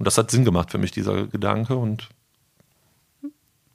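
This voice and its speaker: A man with a medium pitch and fairly even intonation. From Germany, Rhineland (Eschweiler). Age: 30s. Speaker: retail sales manager. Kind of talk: interview. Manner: hesitant, many fillers.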